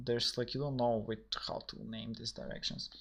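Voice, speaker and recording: A man with a Macedonian accent speaks in a bright, sharp tone. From North Macedonia. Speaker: programmer streaming a coding session. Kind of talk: live stream coding chat. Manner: halting, many fillers and repetitions.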